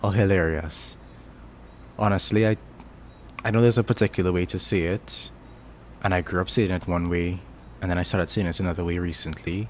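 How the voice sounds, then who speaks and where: Relaxed in tone, a man with a Caribbean accent talks at a fairly quick pace in a very deep, low pitch. His intonation is fairly even, broken by long, frequent pauses. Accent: Caribbean, often mistaken for Jamaican. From Trinidad. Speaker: YouTuber. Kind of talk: casual chat. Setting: live stream. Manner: relaxed, halting with fillers.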